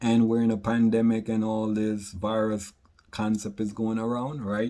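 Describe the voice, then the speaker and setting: A man talks with a Jamaican accent in a dark, mellow tone. His pace is moderate, and the recording is very clean with a silent background. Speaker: author and product creator. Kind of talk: casual vlog monologue.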